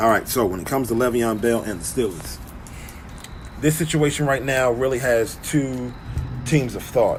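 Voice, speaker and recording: A man with ordinary pitch variation and long, frequent pauses, over music in the background and audible room echo. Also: medium pitch for a man, moderate pace. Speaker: sports commentator. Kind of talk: casual sports commentary.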